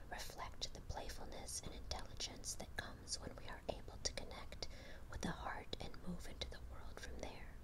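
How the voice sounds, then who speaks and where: The whispering moves at a moderate pace, with noticeable background noise throughout. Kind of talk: ASMR tarot card reading, whispered. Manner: whispered, soft.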